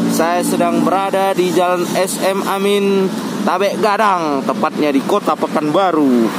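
Speech at a fairly slow pace amid loud background noise. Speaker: bus-spotting vlogger. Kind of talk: casual vlog chat. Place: street. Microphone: phone near.

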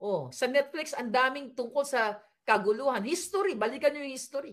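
A woman speaks at a fairly quick pace, her tone animated and her intonation lively. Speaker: political commentator. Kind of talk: impassioned online commentary. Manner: animated, emphatic.

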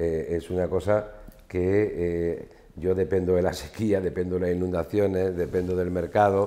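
Very deep and low, a man's voice holds a flat monotone. He speaks fairly slowly. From Spain, Ciudad Real (La Mancha); Castile-La Mancha, Spain. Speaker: farmer and agricultural association leader; guest. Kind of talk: casual interview. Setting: studio with small audience. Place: studio. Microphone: lapel.

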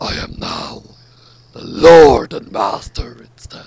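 A raspy male voice, fairly high for a man, at a fairly slow pace. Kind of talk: comic overacting. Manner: gravelly, menacing, mock-serious.

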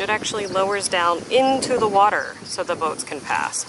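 Noticeable background noise sits in a dry recording that has no echo. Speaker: travel vlogger. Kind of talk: casual vlog chat. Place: boat.

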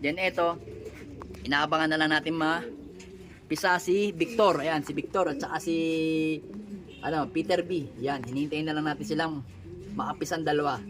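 A moderate pace with long, frequent pauses. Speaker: pigeon fancier vlogger. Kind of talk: casual vlog narration.

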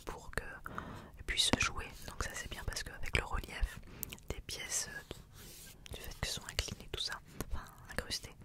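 Someone whispers softly at a fairly slow pace, the sound dry with no echo but loud background noise behind it. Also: woman. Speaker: ASMR creator reviewing items. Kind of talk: casual soft-spoken review chat. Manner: soft intimate close-mic whisper. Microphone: studio mic.

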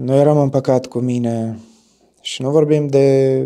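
A man talks at a fairly slow pace in a dark, mellow tone with ordinary pitch variation. The background is quiet. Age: 20s. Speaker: stage actor. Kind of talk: interview testimony. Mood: reflective, thoughtful. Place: studio. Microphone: lapel.

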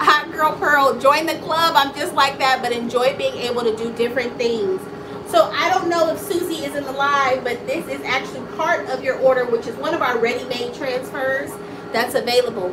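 Over noticeable background noise, a woman speaks loudly in an animated tone, with a high pitch, ordinary pitch variation and a moderate pace. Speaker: small business owner, live streamer. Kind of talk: casual live stream chat. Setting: home studio, live stream. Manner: talkative, animated. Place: office. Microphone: phone near.

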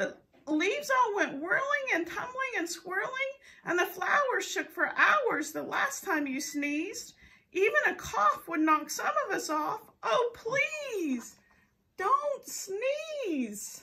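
Putting on a character voice, a woman speaks fairly slowly at an extremely high pitch, with very wide pitch swings. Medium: read story. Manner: pleading, fretful.

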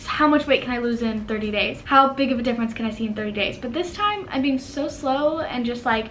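At a fairly quick pace, a woman speaks with a fairly high pitch over clear background noise. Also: ordinary pitch variation.

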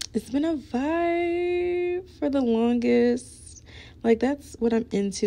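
A woman's dark, mellow voice with very wide pitch swings at a very slow pace. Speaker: beauty vlogger and musician; beauty vlogger. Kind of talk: get-ready-with-me vlog. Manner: casual, chatty. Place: home room. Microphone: phone near.

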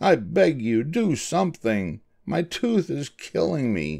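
Using a put-on character voice, a man speaks slowly at a fairly high pitch, with vocal fry, big pitch swings and a slightly mellow tone.

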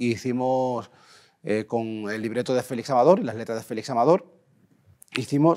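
Against a quiet background, a man speaks at a medium pitch and a moderate pace. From Andalusia, Spain (Huelva); Andalusia, Spain. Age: 40s. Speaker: composer and music producer. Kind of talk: interview. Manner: halting, repeats words. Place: studio. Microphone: lapel.

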